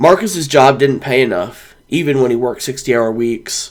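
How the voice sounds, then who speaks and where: Using a put-on character voice, a man speaks at a medium pitch with a raspy sound and a moderate pace. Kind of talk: literary audiobook narration. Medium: read story. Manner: calm, measured.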